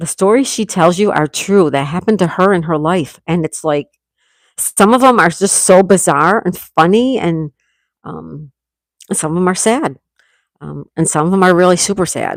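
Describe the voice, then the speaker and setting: Fairly low-pitched woman in a Western New York accent, animated in tone. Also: ordinary pitch variation, moderate pace. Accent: Western New York American. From New York State, US (Hamburg, NY). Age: 60s. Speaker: livestreamer. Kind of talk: casual livestream chat reading comments. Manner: loud.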